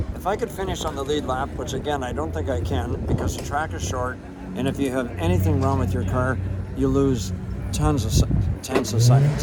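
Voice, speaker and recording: Speaking in a Canadian accent, a man with a very deep, low pitch moves at a fairly quick pace with very wide pitch swings. There is noticeable background noise and audible room echo. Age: 70s. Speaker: race car driver. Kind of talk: casual interview. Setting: outdoors at a race track.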